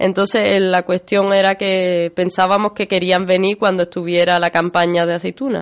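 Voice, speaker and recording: Moderate-paced speech from a woman over a quiet background. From Spain, Málaga (Andalusia). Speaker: land occupation activist, union member. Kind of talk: radio interview.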